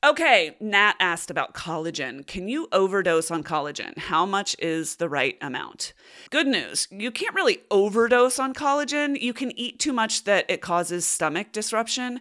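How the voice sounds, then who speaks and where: With hardly any pauses and at a moderate pace, a woman at a medium pitch makes very wide pitch swings in a bright, sharp tone, on a very clean recording with a silent background. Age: 40s. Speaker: podcast host. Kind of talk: solo Q&A podcast. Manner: casual.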